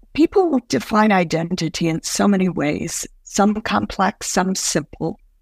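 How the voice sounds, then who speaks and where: Recorded very cleanly against a silent background, a woman with a medium pitch and ordinary pitch variation speaks somewhat breathily at a fairly slow pace with hardly any pauses, the sound dry and close with no echo. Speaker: educational coaching expert. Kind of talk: coaching conversation. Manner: reflective, appreciative.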